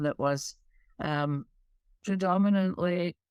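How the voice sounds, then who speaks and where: With a Scottish accent and a fairly low pitch, a woman speaks fairly slowly with ordinary pitch variation, her voice dry and close with no echo on a very clean recording with a silent background. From Scotland. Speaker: diversity and inclusion expert. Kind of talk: interview.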